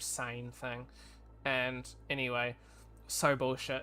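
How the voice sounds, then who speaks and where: Bright, sharp tone from a man with a New Zealand accent, medium in pitch. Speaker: streamer, game developer and artist. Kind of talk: casual livestream chat. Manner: casual, filler-heavy.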